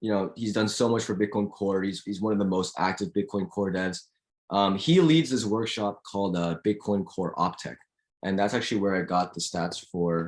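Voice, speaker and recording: Against a quiet background, a man speaks in a fairly low voice with ordinary pitch variation. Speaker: student lecturer. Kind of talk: lecture. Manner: fast.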